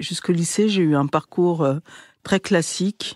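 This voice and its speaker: A woman's fairly low voice at a fairly slow pace, with ordinary pitch variation, a dry, close sound with no echo, and a very clean recording over a silent background. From France, Essonne (91) suburbs. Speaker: documentary filmmaker and podcaster. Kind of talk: interview. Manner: hesitant, many fillers.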